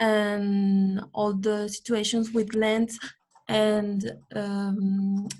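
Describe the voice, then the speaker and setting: In a somewhat breathy, medium-pitched voice, a woman speaks at a very slow pace with monotone, flat intonation. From Mexico. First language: Spanish. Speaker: webinar participant, intern. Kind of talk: online group discussion. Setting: video call. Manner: halting, many fillers.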